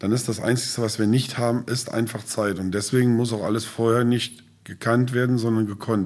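The voice is an unremarkable speaking voice, moving at a moderate pace. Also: man. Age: 50s. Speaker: safety trainer and business owner. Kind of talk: casual interview. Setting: on site at training centre.

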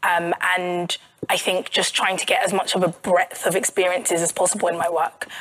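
With a South London accent, a woman speaks fairly quickly in a fairly low, flat monotone over noticeable background noise. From South London, England. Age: 30s. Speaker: journalist and author. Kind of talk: live podcast interview.

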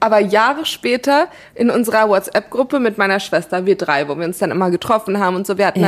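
A woman speaks very fast with lively intonation at a medium pitch. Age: 30s. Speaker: podcast co-host. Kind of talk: casual chat.

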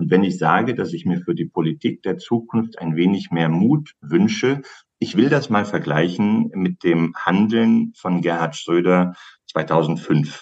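The speaker is a man with a very deep, low pitch. He talks at a fairly slow pace with lively intonation. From Hesse, Germany. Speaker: political strategy consultant. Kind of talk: interview.

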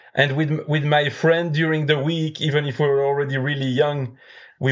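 A man with a French accent at a moderate pace. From Belgium. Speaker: beer judge and brewer. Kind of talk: casual chat.

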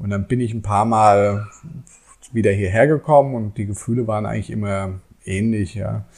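A man speaks at a moderate pace with fairly even intonation. His fairly low voice is broken by long, frequent pauses. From Germany, Frankfurt. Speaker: author and IT teacher. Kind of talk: casual interview. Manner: halting, many fillers.

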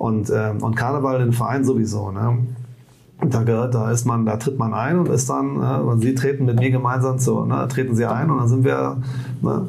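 The voice holds a very even loudness at a moderate pace, with audible room echo and noticeable background noise. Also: man, medium pitch for a man, ordinary pitch variation. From Rhineland, Bonn. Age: 40s. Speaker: trade union leader. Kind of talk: casual interview. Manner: halting, many restarts.

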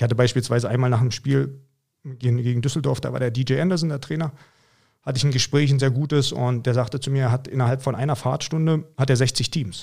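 On a very clean recording with a silent background, a somewhat breathy man of medium pitch speaks very fast with fairly even intonation. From Mecklenburg-Vorpommern, eastern Germany. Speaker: American football coach. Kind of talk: casual interview.

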